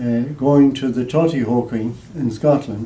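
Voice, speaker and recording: With an Irish accent, a man speaks at a fairly slow pace, his medium pitch moving with ordinary variation. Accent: Irish (Mayo). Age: 80s+. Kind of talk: interview answer.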